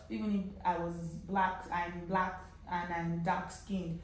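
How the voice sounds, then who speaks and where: Light background noise and noticeable room echo surround a woman as she speaks. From Nigeria. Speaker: travel vlogger. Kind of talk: casual vlog talk to camera. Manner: animated. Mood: relaxed, animated. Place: home room.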